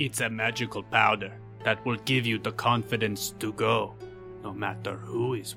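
A man puts on a croaky character voice at a medium pitch and a moderate pace. Clear music plays in the background.

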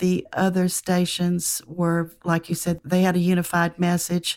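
A woman speaks at a fairly slow pace and medium pitch. The recording is very clean, with a silent background. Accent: Southern US. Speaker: professor. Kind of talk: casual interview chat, storytelling.

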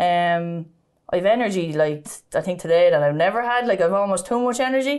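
In a Kildare Irish accent, a woman talks at a fairly quick pace with lively intonation and medium pitch. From Ireland, County Kildare (Sallins). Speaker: ladies Gaelic footballer. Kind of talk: interview, personal testimony.

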